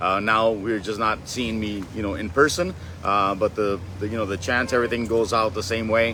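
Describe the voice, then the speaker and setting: Fairly low in pitch, a man talks at a moderate pace with fairly even intonation. He has an ordinary speaking voice. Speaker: longtime auction staff member and buyer. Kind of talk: interview answer. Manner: casual, conversational with filler words.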